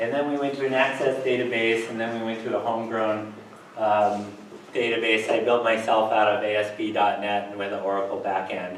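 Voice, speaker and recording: A man at medium pitch with fairly even intonation, plus audible room echo and noticeable background noise. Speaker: emergency management specialist. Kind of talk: lecture. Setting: lecture room with audience. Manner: slow talker, speeding up; hesitant, many fillers.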